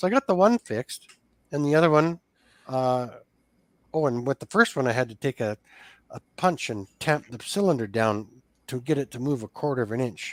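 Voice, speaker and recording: Recorded dry and close with no echo, a man with a western Canadian accent talks at a moderate pace and medium pitch, with lively intonation and long, frequent pauses. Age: 60s. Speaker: small engine repairer. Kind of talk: casual chat. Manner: animated.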